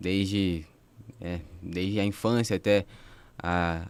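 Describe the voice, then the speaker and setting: A man speaks at a very deep, low pitch in a monotone, flat intonation. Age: 20s. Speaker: university student, podcast co-host. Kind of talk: casual chat.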